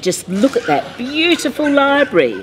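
A woman's voice moves in very wide pitch swings over light background noise. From Australia. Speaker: mayor. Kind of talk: children's picture book read-aloud.

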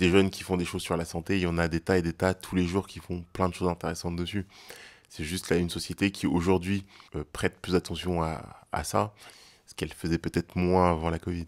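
A man with a very deep, low pitch, talking at a fairly quick pace in a monotone, flat delivery over a quiet background. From Paris suburbs, France (Val-de-Marne); France. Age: 20s. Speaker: student health association co-founder and activist. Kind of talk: testimony.

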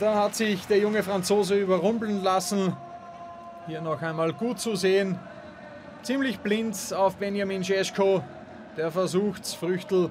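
A fairly slow pace with long, frequent pauses, amid noticeable background noise. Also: man. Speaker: football commentator. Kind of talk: live sports commentary over match highlights. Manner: fluent, lively, with wordplay and quips.

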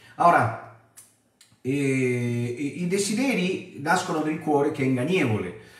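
Speaking at a fairly slow pace, a man has a fairly high pitch. There is audible room echo against a quiet background. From abroad, not Italy. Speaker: preacher. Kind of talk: Bible study. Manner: animated. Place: home room.

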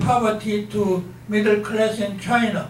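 At a very slow pace, a man speaks in a high pitch. The room echo is audible, with light background noise. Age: 80s+. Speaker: retired professor. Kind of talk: lecture to an audience. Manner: unscripted, no notes. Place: hall.

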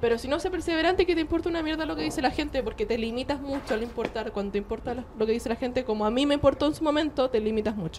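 A woman with a high pitch and lively intonation rushes at a very fast pace with hardly any pauses over noticeable background noise. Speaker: podcast co-host, social media influencer. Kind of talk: casual chat.

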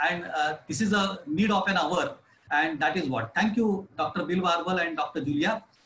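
Heard with audible room echo and light background noise, the speaker has an Indian accent, ordinary pitch variation, very even loudness and a moderate pace. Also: man, high pitch for a man. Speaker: municipal engineer moderating Q&A. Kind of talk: panel Q&A moderation. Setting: video call webinar. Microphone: video call.

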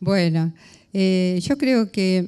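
This woman's voice has a dark, mellow tone. It sits at a fairly low pitch. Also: quiet background. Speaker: former advertising creative director, psychologist. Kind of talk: panel discussion. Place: hall.

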